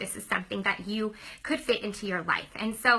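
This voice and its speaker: A woman talks very fast in a fairly high voice with an animated tone. Noticeable background noise runs underneath. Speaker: former teacher turned direct-sales business owner. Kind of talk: sales pitch.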